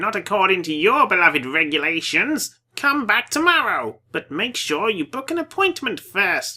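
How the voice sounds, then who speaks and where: Putting on a character voice, a man speaks high for a man with very wide pitch swings, at a moderate pace with hardly any pauses. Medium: game stream. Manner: smarmy, flattering.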